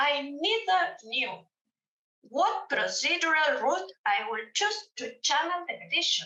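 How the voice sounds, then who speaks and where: A woman with a Spanish accent uses a raised, projected voice at an extremely high pitch. Her pitch swings very wide, and her pace is fairly slow. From Argentina, Mendoza. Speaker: judge. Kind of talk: conference presentation read from paper. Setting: remote presentation to conference. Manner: reading aloud, careful.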